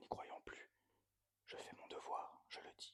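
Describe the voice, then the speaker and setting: The speaker whispers. The pace is very slow. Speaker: ASMR reader. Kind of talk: poetry reading. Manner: whispered.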